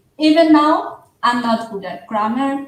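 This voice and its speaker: A woman with a non-native accent speaks at a very slow pace. Her intonation is lively, and the room echo is audible. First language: not English. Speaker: livestream guest. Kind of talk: casual chat.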